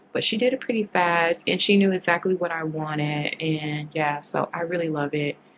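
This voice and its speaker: A woman with a fairly low pitch and ordinary pitch variation speaks against noticeable background noise. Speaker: travel vlogger. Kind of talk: casual vlog monologue. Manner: halting, repetitive.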